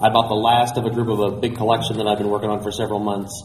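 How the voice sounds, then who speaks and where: Noticeable background noise is there throughout. A man does the talking. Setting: convention.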